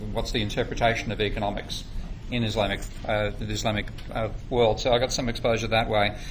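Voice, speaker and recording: A man speaks very fast at a medium pitch in an Australian accent, his intonation flat and monotone. Room echo is audible. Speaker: economics lecturer. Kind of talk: workshop lecture. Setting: workshop room with audience.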